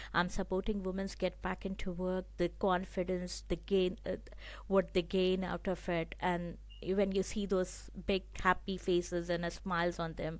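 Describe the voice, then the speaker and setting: Recorded very cleanly with a silent background, a woman with a non-native accent speaks at a moderate pace. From abroad, came from another country. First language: not English. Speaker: program graduate and women's employment support worker. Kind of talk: interview. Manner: halting, with fillers.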